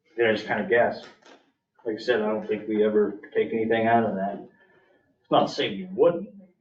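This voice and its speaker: Lively intonation and big swings in loudness shape this man's speech. Long, frequent pauses break it up, and audible room echo surrounds it. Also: medium pitch for a man, fairly quick pace. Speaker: county official presenting budget. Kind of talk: public meeting budget presentation. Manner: fast.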